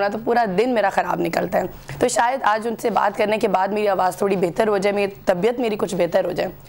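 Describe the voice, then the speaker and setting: Over noticeable background noise, a woman talks at a fairly quick pace, her pitch fairly high with ordinary variation. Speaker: TV talk show host. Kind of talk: TV talk show.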